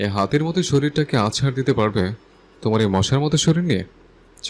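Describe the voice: The reading aloud is plain, and the intonation is lively.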